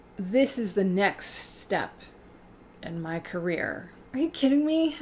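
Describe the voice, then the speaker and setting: Somewhat breathy and relaxed, a woman at medium pitch speaks at a fairly slow pace with very wide pitch swings. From Canada, Alberta (Edmonton). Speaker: YouTuber. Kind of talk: casual livestream chat reading comments. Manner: relaxed, conversational.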